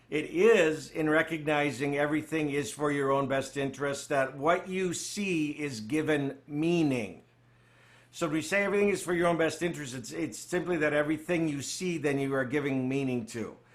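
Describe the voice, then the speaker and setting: A man with a fairly high pitch speaks at a moderate pace with ordinary pitch variation, and room echo can be heard. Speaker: spiritual study group leader. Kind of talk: study group teaching.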